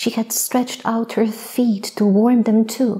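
Soft-spoken and gentle in tone, a woman talks at a fairly high pitch. Her intonation stays flat and monotone, and her pace is very slow. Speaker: poet, storyteller. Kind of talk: sleep story. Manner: soft-spoken, gentle. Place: stage. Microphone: lapel.

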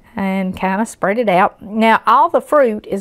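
A woman's intonation stays fairly even while the background remains quiet. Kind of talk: tutorial. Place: kitchen. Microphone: lapel.

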